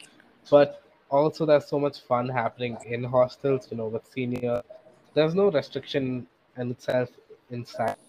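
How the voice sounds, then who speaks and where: This man, with an Indian accent, has a medium-pitched, dark, mellow voice and fairly even intonation, and his volume swings widely. He talks at a moderate pace with long, frequent pauses, in a dry, close sound with no echo. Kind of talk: casual chat.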